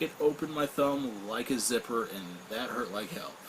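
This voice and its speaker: There is noticeable background noise as a man of medium pitch speaks at a fairly slow pace with lively intonation. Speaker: vape product reviewer. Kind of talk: product review. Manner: casual, with frequent fillers.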